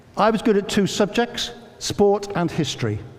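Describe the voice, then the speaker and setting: A man talks with noticeable background noise behind him and audible echo from the room. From England, Northamptonshire. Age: 60s. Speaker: educator and former army officer. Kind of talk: public talk. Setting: church with audience.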